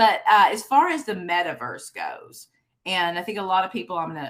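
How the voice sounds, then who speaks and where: A woman with a Texas accent, lively intonation and a fairly quick pace. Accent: Texas twang. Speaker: conference host and keynote speaker. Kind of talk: keynote presentation with interview. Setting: virtual conference.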